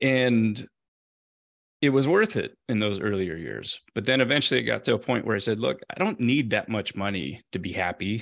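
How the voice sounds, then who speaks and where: This is a normal speaking voice with an American accent and lively intonation. The pace is moderate. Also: man. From US, Central California. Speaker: former tech executive, mental health writer. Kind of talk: interview.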